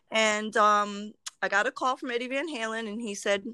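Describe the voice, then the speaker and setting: With an American accent, a woman speaks in a fairly high, bright, sharp voice with ordinary pitch variation, on a very clean recording with a silent background and a dry, close sound with no echo. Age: 50s. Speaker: fan with a personal story. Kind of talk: interview.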